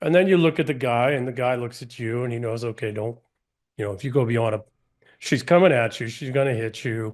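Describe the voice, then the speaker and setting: At a fairly quick pace, a man with a medium-pitched voice and ordinary pitch variation speaks in big swings of loudness over a quiet background. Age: 50s. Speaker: podcast guest. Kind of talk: casual chat. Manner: animated.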